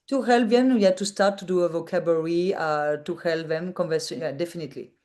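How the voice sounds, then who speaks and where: A woman speaks at a fairly quick pace with a French accent, her pitch fairly low and its variation ordinary. Her tone is dark and mellow over a quiet background. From France. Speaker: digital nomad entrepreneur. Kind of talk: interview. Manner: halting.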